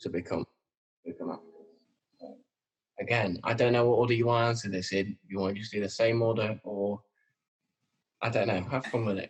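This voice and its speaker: Somewhat breathy male speech in a Lancashire accent, medium pitch, fairly even intonation, long and frequent pauses. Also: moderate pace. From northern England, Preston. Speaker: actor and podcast host. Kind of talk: casual chat.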